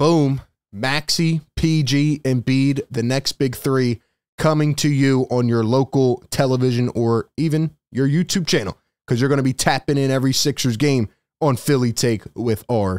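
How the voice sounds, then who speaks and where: A man at a moderate pace with ordinary pitch variation, in a dry sound with no echo and a quiet background. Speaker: sports channel host. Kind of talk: commentary. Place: home room. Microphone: studio mic.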